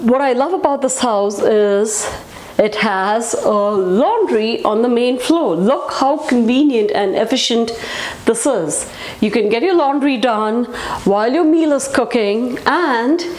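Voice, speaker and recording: A woman's high-pitched voice with lively intonation. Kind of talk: walkthrough tour commentary. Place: home room.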